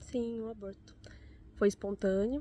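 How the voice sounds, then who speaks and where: A woman's dark, mellow tone at a fairly slow pace. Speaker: mother sharing personal story. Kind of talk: personal testimony.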